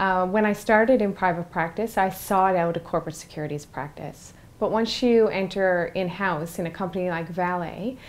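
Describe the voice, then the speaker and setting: A woman with a Newfoundland accent speaks at a moderate pace and medium pitch, with ordinary pitch variation and hardly any pauses. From Newfoundland, Canada. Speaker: in-house corporate lawyer. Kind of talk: interview.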